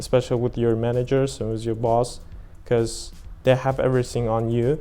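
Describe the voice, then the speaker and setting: In a dark, mellow tone, a man speaks fairly quickly at a medium pitch with monotone, flat intonation. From Uzbekistan. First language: Uzbek. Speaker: exchange student lifeguard. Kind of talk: interview. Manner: halting.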